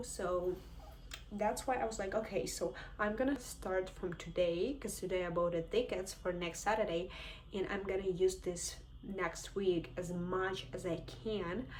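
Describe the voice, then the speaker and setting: Noticeable background noise sits behind this woman's voice. She speaks in a Ukrainian accent at a moderate pace. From Ukraine. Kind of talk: casual talk to camera.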